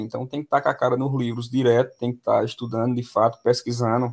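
The recording is very clean, with a silent background. A man talks very fast at a medium pitch. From Pernambuco interior, Brazil. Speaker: math teacher. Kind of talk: casual interview.

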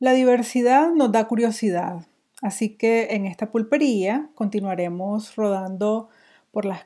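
A woman's fairly high-pitched, dark and mellow voice, with ordinary pitch variation and a very slow pace, on a very clean recording with a silent background. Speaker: podcast host. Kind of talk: scripted narration; casual interview.

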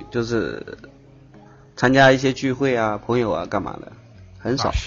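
Fairly even intonation with long, frequent pauses. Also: man, big swings in loudness. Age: 30s. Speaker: caller seeking relationship advice. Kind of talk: advice call-in chat.

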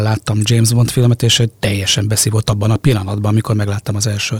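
Speaking at a very fast pace, a man comes through with a dry, close sound with no echo. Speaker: radio host. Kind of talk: casual chat. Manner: hesitant, repeats words.

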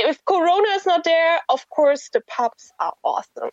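In a German accent, a woman talks at a moderate pace with an extremely high pitch, the sound dry and close with no echo. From Germany. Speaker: guest, expat worker. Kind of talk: casual chat. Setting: phone call. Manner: hesitant.

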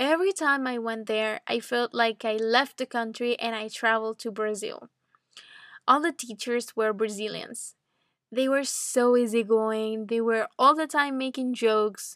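A woman with a Venezuelan accent speaks fairly slowly at a fairly high pitch with ordinary pitch variation. The recording is very clean, with a silent background and a dry, close sound with no echo. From Venezuela (Caracas). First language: Spanish. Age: 20s. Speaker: English teacher. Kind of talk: educational podcast monologue for learners. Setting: at home. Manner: clear, learner-friendly with simple explanations.

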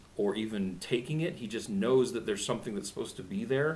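A man talks with ordinary pitch variation. Noticeable background noise and audible room echo surround his voice. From Arkansas. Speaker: community theater podcast host. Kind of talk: casual chat; scripted narration.

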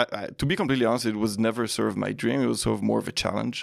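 Against a silent background in a very clean recording, a man speaks with an Israeli accent. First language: Hebrew. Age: 40s. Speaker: tech startup CEO. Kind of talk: casual interview.

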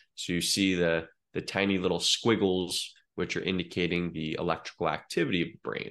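Talking at a fairly quick pace with a General American accent, a man with a very deep, low voice keeps a monotone, flat intonation while his loudness swings widely against a quiet background. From Oregon, US Pacific Northwest. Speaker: neurofeedback practitioner. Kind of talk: podcast interview.

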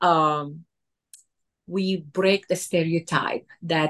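Her voice has a fairly low pitch for a woman, with ordinary pitch variation. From Lebanon. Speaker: cigar shop owner. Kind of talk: interview.

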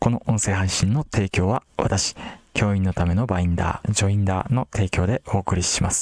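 The sound is dry and close with no echo, and the loudness stays very even. A man speaks in a normal speaking voice at a moderate pace, with a fairly low pitch and fairly even intonation. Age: 30s. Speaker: podcast host selling teacher products. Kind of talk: casual solo talk.

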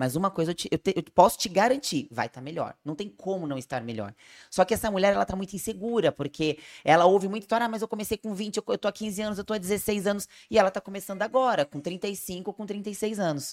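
On a very clean, dry, close recording with a silent background and no echo, a woman at medium pitch talks at a very fast pace with lively intonation, vocal fry and big swings in loudness. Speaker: nutritionist and podcast host. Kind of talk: casual chat.

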